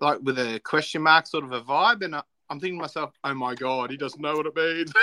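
Talking at a very fast pace, a man has an Australian accent and a fairly high pitch. His tone is bright and sharp, with ordinary pitch variation. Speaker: podcast co-host. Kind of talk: casual chat. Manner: animated.

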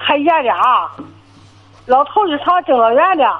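This woman's high voice carries lively intonation at a moderate pace. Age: 70s. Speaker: caller. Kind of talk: phone-in call. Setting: phone call. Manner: clear, fluent for her age; halting, repetitive. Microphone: poor phone line.

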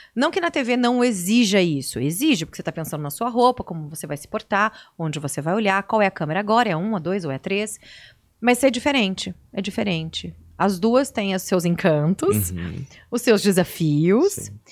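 On a very clean recording with a silent background, a woman with an ordinary speaking voice talks at a moderate pace, her loudness swinging widely. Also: medium pitch for a woman, lively intonation. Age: 40s. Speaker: TV and radio presenter. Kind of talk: interview.

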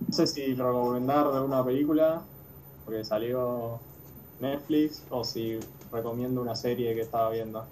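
A man with a Rioplatense accent speaks at a moderate pace in a medium pitch with fairly even intonation, with audible room echo and noticeable background noise. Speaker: football podcast co-host. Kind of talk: casual chat.

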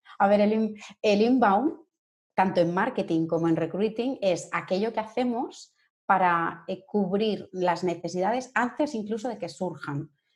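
A woman talks in an ordinary speaking voice at a medium pitch with ordinary pitch variation. The background is quiet. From Catalonia, Spain (Sabadell, Barcelona). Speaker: human resources and employer branding consultant. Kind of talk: interview.

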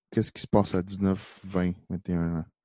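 A man's dark, mellow voice in a Quebec accent, flat and monotone, with a dry, close sound, no echo and a quiet background. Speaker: youth pastor. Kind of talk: casual chat.

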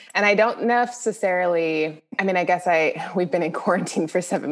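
Over noticeable background noise, a woman with an American accent talks at a medium pitch with ordinary pitch variation. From US West (southern California, Denver). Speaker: communications professional. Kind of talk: interview.

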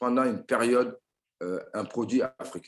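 The man talks at a fairly slow pace. His medium pitch shows ordinary variation. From Mali and France. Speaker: tech entrepreneur. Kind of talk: interview. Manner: hesitant with fillers.

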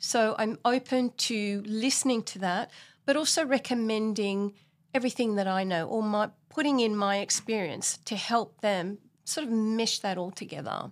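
A woman's fairly high voice at a moderate pace, with ordinary pitch variation, in a very clean recording with a silent background. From Australia (Sydney). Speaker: buyer's agent. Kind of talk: interview.

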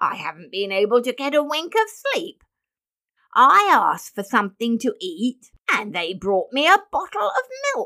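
A woman uses a whiny, put-on character voice at a fairly high pitch. She speaks at a fairly slow pace with big pitch swings and a bright, sharp tone.

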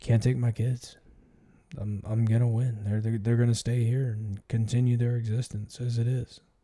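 A man with a dark, mellow tone and a somewhat breathy quality speaks at a moderate pace in a monotone, flat delivery at a medium pitch. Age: 40s. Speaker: podcast host, military veteran. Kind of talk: solo monologue, personal reflection. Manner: casual, filler-heavy.

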